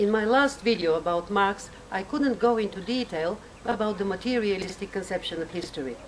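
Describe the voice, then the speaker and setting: A woman with a non-native accent speaks at a fairly quick pace, medium in pitch with ordinary pitch variation. Noticeable background noise runs behind her. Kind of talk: casual talk to camera.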